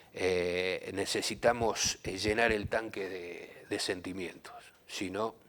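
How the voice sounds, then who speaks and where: The speaker talks at a very slow pace, with fairly even intonation. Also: man, fairly low pitch for a man. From southern Santa Fe, Argentina. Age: 60s. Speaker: musician, former football figure. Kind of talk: interview. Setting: studio.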